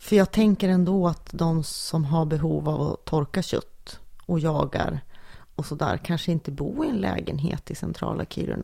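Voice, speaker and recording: The recording is very clean with a silent background as a woman talks at a moderate pace. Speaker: podcast co-host. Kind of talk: casual chat.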